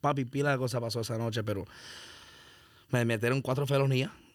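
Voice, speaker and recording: A man's flat, monotone delivery at a fairly quick pace, in a very clean recording with a silent background. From Miami (Hialeah, Broward). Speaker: rapper. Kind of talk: casual chat.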